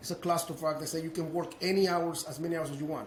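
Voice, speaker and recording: A man with a Spanish accent, high-pitched and animated, amid audible room echo and noticeable background noise. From Mexico. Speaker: business owner. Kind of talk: interview storytelling. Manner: halting, repeats words.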